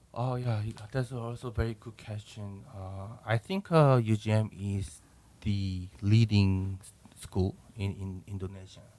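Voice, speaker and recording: A man with a Korean accent and fairly low pitch, fairly slow, with fairly even intonation and big swings in loudness. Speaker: professor. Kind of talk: interview. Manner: halting.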